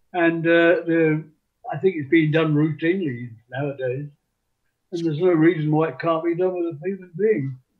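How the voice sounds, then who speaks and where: The pace of speech is moderate. The speaker talks in an English accent. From London, England. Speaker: author. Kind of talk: interview. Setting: live show with audience.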